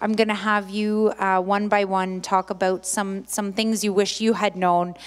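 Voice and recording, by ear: A woman speaks at a medium pitch. Her pace is fairly slow.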